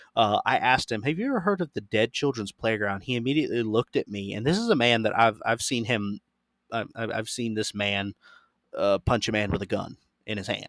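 Recorded very cleanly against a silent background, with a dry, close sound and no echo, a man talks in an ordinary speaking voice of medium pitch with ordinary pitch variation. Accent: American. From Florida. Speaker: podcast host. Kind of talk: reading aloud; casual chat.

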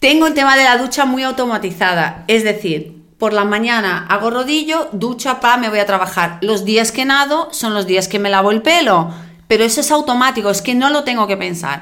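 Bright and sharp in tone, a woman speaks with lively intonation and hardly any pauses. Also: fairly high pitch for a woman, moderate pace. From outside Spain. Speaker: triathlon podcast co-host. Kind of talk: casual chat.

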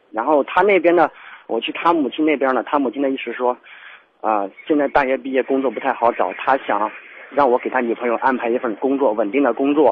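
Ordinary pitch variation in a man's fairly quick, medium-pitched speech. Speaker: caller. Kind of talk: call-in advice. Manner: halting.

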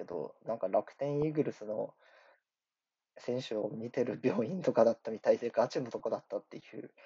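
A man speaks at a fairly quick pace. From Japan, Iwate. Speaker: podcaster and amateur rapper. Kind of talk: casual solo monologue. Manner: rambling, filler-heavy.

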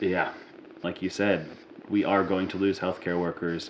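Against noticeable background noise, a man talks at a fairly quick pace with a very deep, low pitch and monotone, flat intonation. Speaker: podcast host. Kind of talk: casual chat.

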